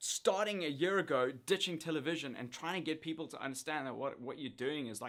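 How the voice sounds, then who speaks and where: A man with a South African accent speaks at a fairly quick pace and fairly high pitch, his intonation lively and his tone bright and sharp, on a very clean recording with a silent background. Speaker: YouTuber, former TV presenter. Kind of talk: casual talk to camera.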